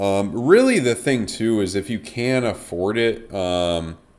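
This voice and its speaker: A man speaks at a medium pitch with an American accent. His pace is fairly slow. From New England, US. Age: 20s. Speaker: crypto trader streamer. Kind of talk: casual chat answering live chat questions. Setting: live stream. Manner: hesitant, many fillers.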